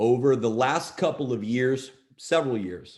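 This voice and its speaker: A man of medium pitch speaks at a fairly slow pace with ordinary pitch variation. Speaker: co-creator of a crypto project. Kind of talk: presentation to an audience. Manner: slow, with pauses.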